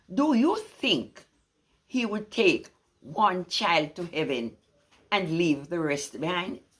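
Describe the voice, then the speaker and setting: At a very slow pace, a woman speaks with vocal fry and very wide pitch swings. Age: 80s+. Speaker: poetry reciter. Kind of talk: poetry reading.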